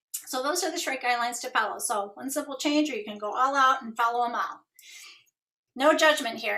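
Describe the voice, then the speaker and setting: The voice is raised and projected, with a bright, sharp tone. It moves at a fairly quick pace with an animated tone. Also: woman. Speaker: nurse giving wellness presentation. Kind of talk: online wellness presentation. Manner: fast.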